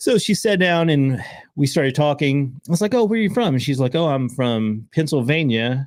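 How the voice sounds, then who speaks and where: A man with an American accent speaks at a medium pitch with lively intonation. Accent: Southern US (redneck accent). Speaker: podcast host. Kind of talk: casual chat.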